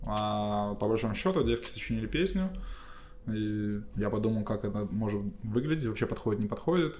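A man with a fairly low voice talks at a fairly quick pace, but with long, frequent pauses. His pitch varies in an ordinary way, and room echo is audible. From Belarus, Gomel region. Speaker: electronic musician. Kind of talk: casual chat.

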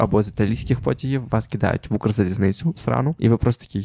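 Dark and mellow, this man's voice sits at fairly low pitch. His pitch varies in an ordinary way. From Ukraine. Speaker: podcast host. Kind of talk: casual chat.

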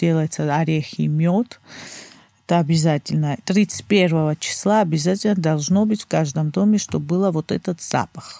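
Speaking at a fairly slow pace, a woman has a very deep, low pitch and a dark, mellow tone, in a dry, close sound with no echo. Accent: Georgian. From Georgia, Batumi. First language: Georgian (speaking Russian). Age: 30s. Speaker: guest from Georgia. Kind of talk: casual interview chat.

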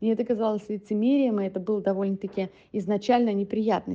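A woman's unremarkable speaking voice at medium pitch, fairly quick in pace and fairly even in intonation. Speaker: guest, Russian wife of an American. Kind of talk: recorded personal story.

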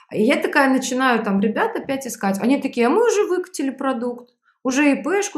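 The woman's voice is high-pitched. She talks at a fairly quick pace. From Belarus. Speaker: sales trainer and startup founder. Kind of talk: interview.

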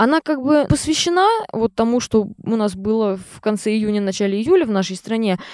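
In a plain, everyday voice, a woman at a fairly high pitch speaks at a moderate pace with lively intonation and big swings in loudness. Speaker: composer and singer-songwriter, conservatory student. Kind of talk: casual interview chat. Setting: in a tent at a campsite.

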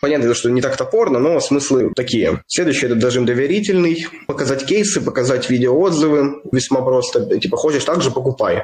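Against noticeable background noise, a man with a fairly high pitch speaks at a fairly quick pace with hardly any pauses, very even loudness and ordinary pitch variation. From Kirov, Russia. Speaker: infobusiness producer. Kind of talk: interview, casual chat.

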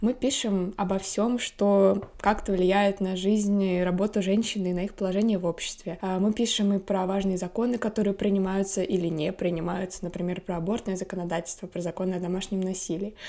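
A woman speaks at a fairly quick pace with hardly any pauses, her medium-pitched voice held in a monotone, flat intonation. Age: 20s. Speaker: podcast host and editor. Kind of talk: casual chat.

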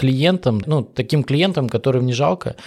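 A man's medium-pitched voice at a moderate pace. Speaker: podcast host interviewing sales professionals; sales professional. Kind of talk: casual interview.

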